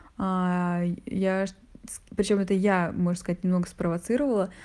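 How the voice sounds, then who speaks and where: A woman speaks with a dark, mellow tone and fairly even intonation. The recording is very clean, with a silent background. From Russia, Saint Petersburg. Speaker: interviewee sharing a personal story. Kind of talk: personal storytelling.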